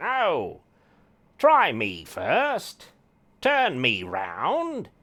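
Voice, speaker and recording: Someone performs a put-on character voice in a very clean recording with a silent background. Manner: silly, put-on.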